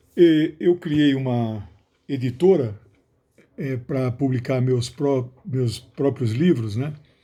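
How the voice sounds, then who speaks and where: A man speaks at a very slow pace with a medium pitch and ordinary pitch variation. His tone is dark and mellow, and somewhat breathy. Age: 60s. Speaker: sociologist and author. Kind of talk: book announcement monologue. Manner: some hesitations and restarts.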